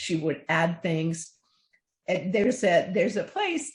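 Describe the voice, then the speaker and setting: A woman speaks at a fairly low pitch with very wide pitch swings. Her delivery is fairly slow and somewhat breathy. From Cuba. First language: Spanish. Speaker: children's book author. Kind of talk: interview.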